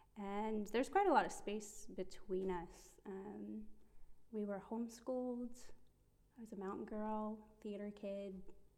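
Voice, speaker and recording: A Midwestern accent comes through in a dark, mellow tone with monotone, flat intonation at a fairly slow pace. The loudness swings widely. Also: woman, fairly high pitch for a woman. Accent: American, Midwestern. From Ohio, US. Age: 30s. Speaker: ministry intern. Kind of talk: casual chat, interview about personal faith story.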